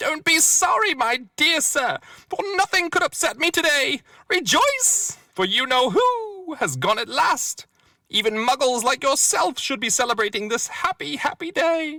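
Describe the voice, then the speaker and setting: A man uses a put-on character voice, squeaky and extremely high in pitch. He talks at a moderate pace. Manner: joyful, exuberant.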